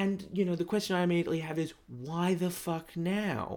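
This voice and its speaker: A man talks in an Australian accent. His voice sits fairly high. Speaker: gaming podcast host. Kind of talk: solo podcast monologue. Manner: animated.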